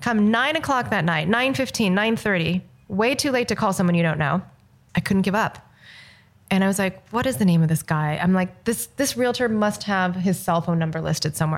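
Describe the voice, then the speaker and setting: A woman at medium pitch, lively intonation and a fairly quick pace, in a very clean recording with a silent background. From Los Angeles. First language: Mandarin. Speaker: film director. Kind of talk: casual chat.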